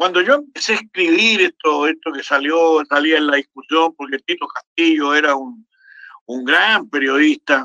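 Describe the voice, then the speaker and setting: In a Chilean accent, a man with a fairly high pitch and a bright, sharp tone talks at a fairly slow pace, the sound dry and close with no echo. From Chile, Santiago. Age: 80s+. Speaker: historian and academic. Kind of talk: casual chat. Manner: halting, many repetitions.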